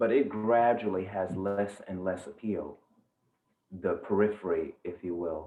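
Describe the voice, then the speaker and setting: A man with a plain, everyday voice speaks at a fairly slow pace, with a fairly low pitch and ordinary pitch variation. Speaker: yoga teacher, meditation guide. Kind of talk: guided meditation. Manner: slow, calm, soft-spoken.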